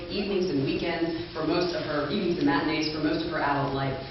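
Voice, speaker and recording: Noticeable background noise sits behind a woman with an American accent. She talks at a fairly quick pace, with fairly low pitch and ordinary pitch variation. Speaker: author and actor. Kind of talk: author reading at a literary event.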